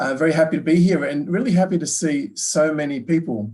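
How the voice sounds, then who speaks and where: Moderate pace and ordinary pitch variation from a man with an Australian accent, over a quiet background. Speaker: business professor; presenter. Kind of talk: lecture. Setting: online webinar. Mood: warm, polite. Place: office. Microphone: video call.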